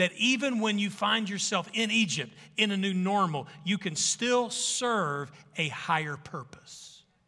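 A man in a Southern US accent with a raised, projected voice, high pitch, bright, sharp tone and lively intonation at a very slow pace. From Arkansas. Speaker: pastor. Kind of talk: sermon.

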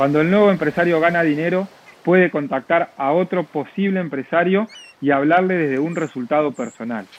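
A man with a high voice, fairly quick delivery and ordinary pitch movement, noticeable background noise behind him. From Argentina, La Plata. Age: 20s. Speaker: network marketing entrepreneur. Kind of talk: interview.

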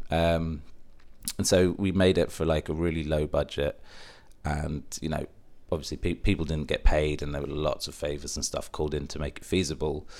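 A man's very deep, low voice with a southern English accent, at a moderate pace and in a monotone, flat intonation. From England, Stevenage, partly raised in Middle East. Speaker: film producer. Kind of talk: interview conversation. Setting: in person.

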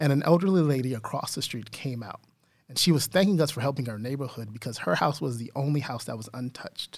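Somewhat breathy and fairly high-pitched, a man with an American accent talks at a very fast pace with ordinary pitch variation. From Texas, San Antonio. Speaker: diversity and inclusion trainer. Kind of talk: interview.

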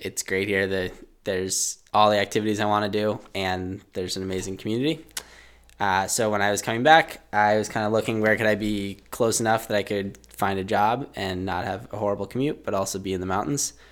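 At a fairly quick pace, an ordinary speaking voice keeps fairly even intonation. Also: man, fairly low pitch for a man. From Massachusetts. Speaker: endurance skier. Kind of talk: interview. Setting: studio.

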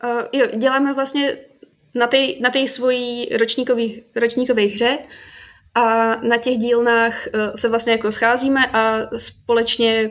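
On a very clean recording with a silent background, a woman speaks at a fairly slow pace with a fairly high pitch and monotone, flat intonation. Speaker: game design graduate. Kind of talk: casual chat.

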